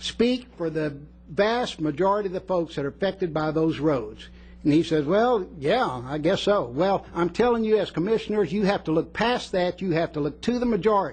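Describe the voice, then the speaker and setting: With an American accent, a man speaks at a moderate pace in a high pitch. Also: lively intonation. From West Texas. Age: 60s. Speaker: resident speaking at public comment. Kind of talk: public comment at county meeting. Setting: county commission meeting room. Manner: emphatic, animated.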